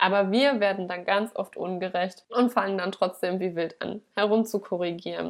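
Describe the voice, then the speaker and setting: A woman talks at a moderate pace at a medium pitch. It is a normal speaking voice. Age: 30s. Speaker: dog trainer in training, guest podcast host. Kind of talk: solo podcast talk. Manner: casual, conversational.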